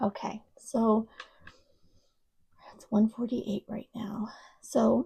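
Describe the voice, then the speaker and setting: Speaking very slowly with long, frequent pauses, a woman with an American accent has a fairly high, somewhat breathy voice of dark, mellow tone and fairly even intonation, captured in a dry, close sound with no echo. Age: 30s. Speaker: psychic tarot reader. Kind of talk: tarot reading to camera. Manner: casual, hesitant.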